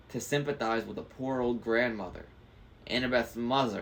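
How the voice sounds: This is a natural reading voice with fairly even intonation.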